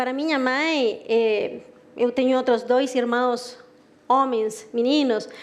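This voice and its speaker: A woman with a Chilean accent speaks at a high pitch and a fairly slow pace. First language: Spanish (speaking Portuguese). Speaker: marketing director. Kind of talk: presentation talk.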